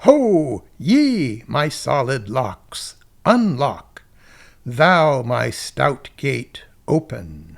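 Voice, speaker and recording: A man in a put-on character voice at a very slow pace, on a very clean recording with a silent background. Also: medium pitch for a man. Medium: read story. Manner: imperious, menacing.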